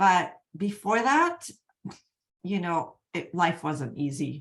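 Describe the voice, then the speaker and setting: A woman is speaking at a medium pitch. Her pace is fairly slow. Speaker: energy healing coach. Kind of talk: live webinar presentation. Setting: online video event.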